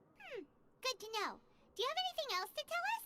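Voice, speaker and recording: A squeaky put-on character voice rattles along at a very fast pace in an extremely high pitch. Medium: video game. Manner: lively, cheeky.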